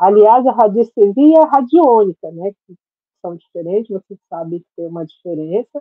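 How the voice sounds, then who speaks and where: A woman speaks at a moderate pace, her pitch swinging very widely and her loudness rising and falling a lot. The sound is dry with no echo, and the background is quiet. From Brazil, Santos (São Paulo state); São Paulo state, Brazil. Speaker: holistic therapist and radiesthesia teacher; natural therapist teacher. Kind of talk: tutorial. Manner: casual, filler-heavy speech. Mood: warm, friendly. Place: home room. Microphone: webcam.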